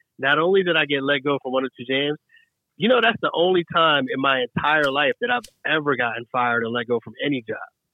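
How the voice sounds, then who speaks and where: Fairly high in pitch, this man has an American accent. He talks at a very fast pace with lively intonation. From South Jersey, Philadelphia area. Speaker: radio host. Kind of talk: casual interview chat.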